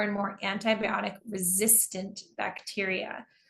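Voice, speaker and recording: A woman's normal speaking voice in an American accent, at a fairly slow pace with ordinary pitch variation. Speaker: English teacher. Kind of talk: online lecture.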